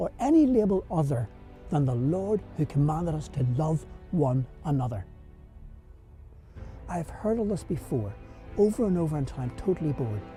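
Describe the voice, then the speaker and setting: With music in the background, a man with a Belfast accent and a fairly high pitch uses very wide pitch swings and long, frequent pauses. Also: moderate pace. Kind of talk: rhyming spoken word poem over music.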